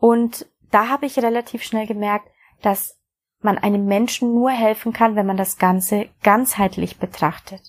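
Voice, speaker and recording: A woman with a fairly high pitch speaks at a fairly slow pace with fairly even intonation, in an unremarkable speaking voice. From Bavaria, Germany. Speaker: podcast host, coach and hypnotherapist. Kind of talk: personal introduction monologue.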